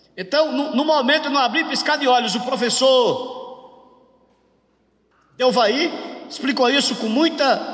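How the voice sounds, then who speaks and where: A man's extremely high voice with ordinary pitch variation and audible room echo. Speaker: pastor teaching a workshop. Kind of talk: bible lecture. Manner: call-and-response with audience.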